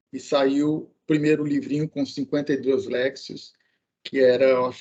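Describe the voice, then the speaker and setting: A man's dark, mellow tone at a fairly slow pace. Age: 60s. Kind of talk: casual podcast chat about the gospel. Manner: halting, with fillers.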